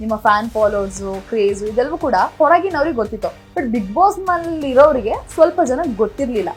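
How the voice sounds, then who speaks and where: A woman's high-pitched voice with very wide pitch swings over music in the background. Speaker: interviewer. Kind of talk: interview questions.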